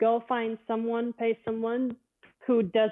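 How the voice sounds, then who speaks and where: In a Latvian accent, a woman speaks at a fairly slow pace. Her pitch is fairly high. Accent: Eastern European (Latvian) accent in English. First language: not English. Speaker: professional bowler. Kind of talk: casual interview.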